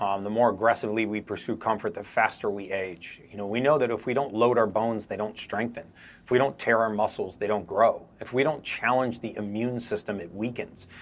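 Male voice, medium in pitch, an unremarkable speaking voice at a fairly quick pace with hardly any pauses and fairly even intonation, on a very clean recording with a silent background. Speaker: biologist. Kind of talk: panel opinion, earnest argument.

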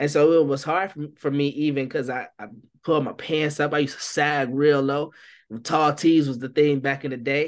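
Over a quiet background, the speech moves at a moderate pace with fairly even intonation. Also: man, fairly high pitch for a man. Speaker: barber and youth minister. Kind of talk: casual interview conversation. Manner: relaxed vernacular speech.

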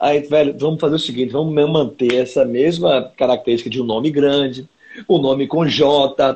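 Fairly even intonation and a moderate pace from a man pitched fairly high. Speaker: singer-songwriter. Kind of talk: casual interview. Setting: Instagram live video call. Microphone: unstable connection.

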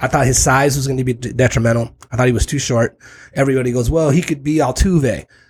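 On a very clean recording with a silent background, a man speaks at a fairly quick pace in a somewhat breathy voice of medium pitch with ordinary pitch variation. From San Diego South Bay / Tijuana. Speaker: baseball scout. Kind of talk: casual chat.

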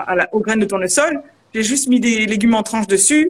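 Speaking in an unremarkable speaking voice, a woman has a fairly high pitch and ordinary pitch variation. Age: 30s. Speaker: culinary coach and former chef. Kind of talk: live video interview.

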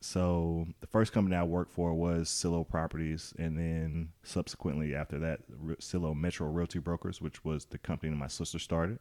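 In an Alabama accent, a man speaks with very deep, low pitch and a dark, mellow tone on a very clean recording with a silent background. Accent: Southern US (Alabama). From US South, Birmingham, Alabama. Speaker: realtor. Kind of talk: casual chat.

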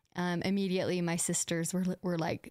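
A woman with an American accent speaks at a fairly low pitch on a very clean recording with a silent background. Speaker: podcast host and former missionary. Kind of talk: casual storytelling chat. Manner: animated, casual.

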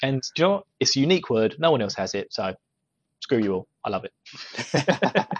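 A man with a British accent talks at a medium pitch and a moderate pace. His pitch makes very wide swings. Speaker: podcast host. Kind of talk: casual chat. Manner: joking, laughs often.

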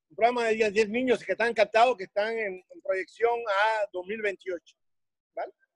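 In a Cuban accent, the speaker goes at a fairly slow pace with fairly even intonation and big swings in loudness, in a dry, close sound with no echo. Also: man, high pitch for a man. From Cuba, Havana. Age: 60s. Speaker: weightlifting coach. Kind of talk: interview.

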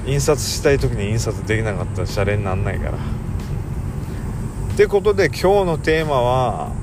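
Amid audible room echo and noticeable background noise, a man at medium pitch talks with hardly any pauses and very wide pitch swings. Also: moderate pace. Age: 40s. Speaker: podcast host. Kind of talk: casual monologue. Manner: rambling, hesitant.

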